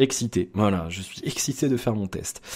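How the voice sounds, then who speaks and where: A man talks with a fairly low pitch and ordinary pitch variation. The recording is very clean, the background silent. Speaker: tech reviewer. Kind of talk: product review. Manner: fast; animated.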